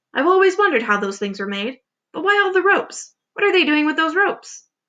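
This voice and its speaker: Putting on a squeaky character voice, a woman speaks extremely high and very fast, her pitch swinging very widely. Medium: read story. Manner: sharp.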